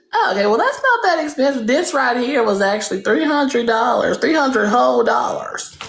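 A woman with an American accent, high in pitch, talking at a fairly quick pace with hardly any pauses and very wide pitch swings, with music in the background. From US South (Louisiana). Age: 20s. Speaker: livestreamer chatting with strangers. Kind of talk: casual chat. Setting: video call. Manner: loud; brash, teasing.

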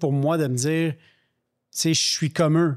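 In a quiet background, a man speaks at a moderate pace. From Quebec. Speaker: podcast co-host. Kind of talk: casual interview. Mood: calm, earnest. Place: studio. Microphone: studio mic.

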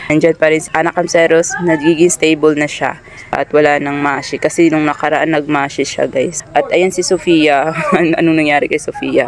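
A woman speaks at a moderate pace in a low pitch, with few pauses. Her pitch moves little, and faint background noise sits behind her.

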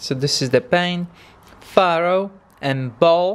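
A man at a fairly high pitch, slow pace, clear, smooth tone and ordinary pitch variation.

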